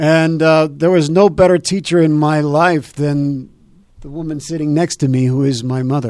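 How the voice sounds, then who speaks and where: A man in a normal speaking voice keeps a fairly high pitch, fairly even intonation and a moderate pace. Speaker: radio talk show host. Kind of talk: live radio interview, casual chat. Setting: radio studio, live broadcast.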